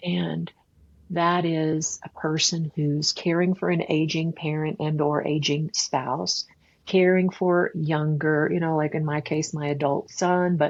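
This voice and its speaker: Monotone, flat intonation over a quiet background. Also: woman. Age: 60s. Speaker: author and leadership strategist. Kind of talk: interview. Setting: podcast. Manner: halting, frequent repetitions.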